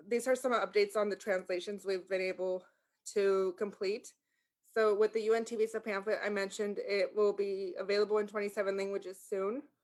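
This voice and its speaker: A woman talks with a Spanish accent at a medium pitch and a moderate pace. Her intonation stays monotone and flat. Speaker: sheriff's office language access liaison. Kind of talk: community meeting presentation. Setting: video call. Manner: halting, many fillers.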